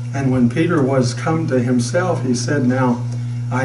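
A man's medium-pitched voice at a fairly slow pace, with noticeable background noise. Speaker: pastor. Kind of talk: sermon. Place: church. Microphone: lapel.

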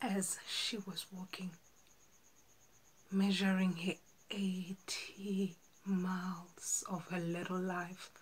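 A woman speaks very slowly in a flat monotone, with long, frequent pauses. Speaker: actor. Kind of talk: dramatic monologue audition. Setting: home self-recording. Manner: slow, emotional. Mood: earnest, emotional storytelling. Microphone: phone near.

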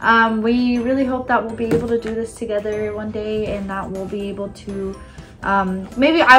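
A woman at a moderate pace over clear background music. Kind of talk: casual vlog chat. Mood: warm, upbeat, some laughs. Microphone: camera far.

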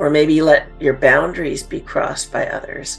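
A woman talks at a fairly slow pace. There is faint music behind her. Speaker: podcast host, coach. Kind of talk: podcast monologue. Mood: calm, earnest.

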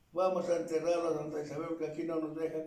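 A man talks at a high pitch, and audible room echo hangs on his words. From Tlaxcala, Mexico. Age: 80s+. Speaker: elderly local narrator. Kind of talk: oral history interview answer. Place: home room. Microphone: camera far.

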